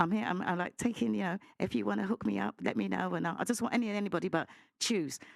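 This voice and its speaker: Loud and animated, a woman with a fairly low pitch and vocal fry races along at a very fast pace, her pitch swinging very widely, in a very clean recording with a silent background. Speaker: panel guest. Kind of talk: heated debate.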